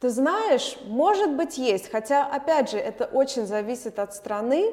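The intonation rises and falls in a lively way. Background noise is clearly audible. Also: woman. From Moscow, Russia. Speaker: opera singer and actress. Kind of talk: casual interview.

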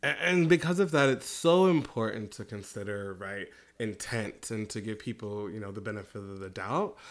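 In an ordinary speaking voice with an American accent, the speaker talks at a moderate pace with lively intonation and big swings in loudness, on a very clean recording with a silent background. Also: man, fairly low pitch for a man. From US Midwest. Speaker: podcast co-host. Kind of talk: casual chat.

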